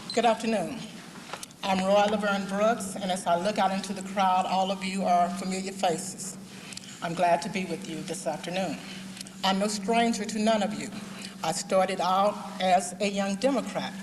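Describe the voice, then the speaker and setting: Noticeable background noise and audible room echo accompany a woman speaking at a moderate pace, her medium-pitched voice monotone and flat. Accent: American. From Fort Worth, Texas. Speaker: political candidate. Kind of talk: campaign speech at candidates forum. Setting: forum with live audience.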